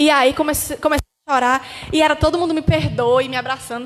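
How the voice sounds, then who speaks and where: This woman speaks with a high pitch. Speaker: pastor's daughter giving testimony. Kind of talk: testimony. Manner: fast.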